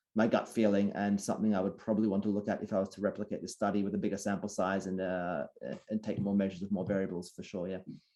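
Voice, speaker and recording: Delivered very fast in an Australian accent, the voice has a dark, mellow tone and monotone, flat intonation. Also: man, fairly low pitch for a man. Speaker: sleep researcher. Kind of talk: Q&A at online talk.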